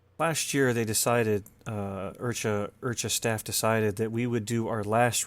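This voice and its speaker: A man at medium pitch, fairly slow and fairly even in intonation, in a very clean recording with a silent background. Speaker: RC helicopter podcast host and competition caller. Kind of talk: casual chat. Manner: loud.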